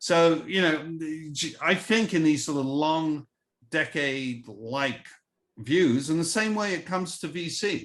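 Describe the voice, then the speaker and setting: Against a quiet background, a man with an English accent speaks with lively intonation at a fairly high pitch. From England. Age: 60s. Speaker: venture capitalist. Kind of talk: casual chat.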